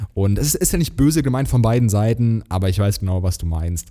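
In a Hessian accent, a man with a dark, mellow tone and medium pitch talks at a very fast pace. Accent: Hessian sch pronunciation. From Germany, Hesse. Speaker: podcast co-host. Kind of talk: casual chat.

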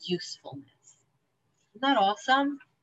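A woman with a New Jersey accent. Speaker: 12-step meeting speaker. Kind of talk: testimony. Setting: video call.

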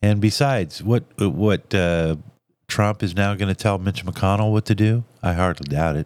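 Speaking at a moderate pace, a man with a fairly low pitch and ordinary pitch variation is heard in a dry, close sound with no echo on a very clean recording with a silent background. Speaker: political talk radio host. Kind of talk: political commentary monologue. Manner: heated.

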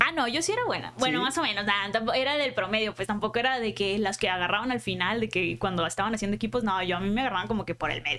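A woman talks very fast with lively intonation and very even loudness over noticeable background noise. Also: medium pitch for a woman. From Culiacán, Sinaloa, Mexico. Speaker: content creator and writer. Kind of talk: casual interview.

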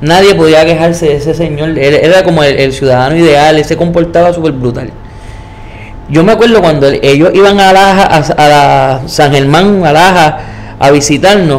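Delivered at a moderate pace with ordinary pitch variation and very even loudness, the speech carries audible room echo and noticeable background noise. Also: man, fairly high pitch for a man. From Puerto Rico. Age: 30s. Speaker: storyteller sharing paranormal experiences. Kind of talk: personal storytelling interview.

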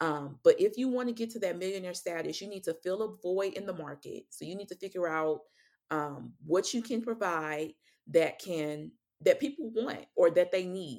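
An ordinary speaking voice with an American accent carries lively intonation and big swings in loudness. The recording is very clean, with a silent background. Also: woman, medium pitch for a woman, moderate pace. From St. Louis, Missouri. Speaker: financial coach. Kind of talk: interview.

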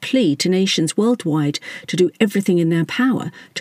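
Lively intonation in a plain read-aloud delivery

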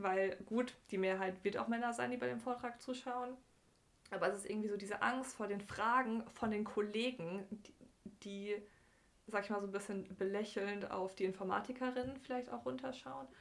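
An ordinary speaking voice from a woman, medium in pitch, with ordinary pitch variation at a moderate pace. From southwestern Germany, Bergstraße between Heidelberg and Frankfurt. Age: 20s. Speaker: computer scientist / programmer. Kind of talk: casual interview.

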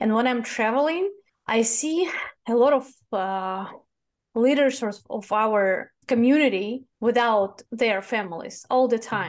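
Against a quiet background, a woman with a fairly high pitch and a Russian accent speaks with ordinary pitch variation. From Russia, Moscow. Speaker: e-commerce agency founder. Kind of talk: interview.

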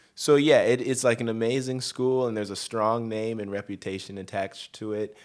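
A man's normal speaking voice with an American accent, medium pitch, moderate pace and ordinary pitch variation, on a very clean recording with a silent background. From Colorado, Denver. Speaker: touring musician and arranger. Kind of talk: casual interview chat.

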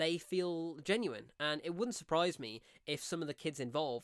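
An animated man speaks with an English Midlands accent. His pitch is fairly high and his pace moderate. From English Midlands, near Coventry. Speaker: film reviewer podcast host. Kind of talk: solo film review monologue.

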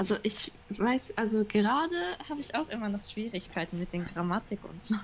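A woman speaks at a moderate pace with a fairly high pitch. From Germany, Düsseldorf, Japanese family. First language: Japanese (speaking German). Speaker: interview guest. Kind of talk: casual interview. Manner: halting.

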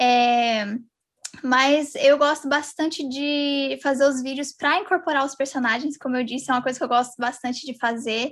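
This woman's voice is high in pitch, with fairly even intonation and a moderate pace. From Brazil, São José dos Campos (São Paulo state). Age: 20s. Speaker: ASMR YouTuber. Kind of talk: casual interview chat.

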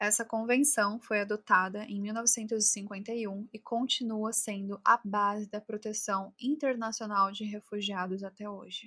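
A woman speaks at a fairly slow pace with hardly any pauses, her tone bright and sharp. Her intonation is monotone and flat, while her loudness swings widely. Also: fairly high pitch for a woman. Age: 20s. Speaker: true crime podcaster. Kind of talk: scripted narration. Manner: casual.

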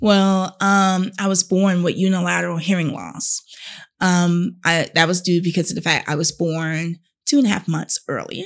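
Here a woman uses a normal speaking voice, fairly low in pitch, at a moderate pace with fairly even intonation. The recording is very clean, with a silent background. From North Carolina. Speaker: teacher and model. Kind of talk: interview conversation.

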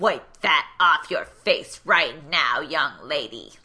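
A woman puts on a character voice. She speaks at a very slow pace. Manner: stern, bossy, commanding.

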